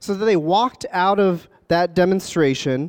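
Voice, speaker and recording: A man with a high voice and an American accent speaks with lively intonation in a dry, close recording with no echo. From Philadelphia area. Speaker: public market manager. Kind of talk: interview.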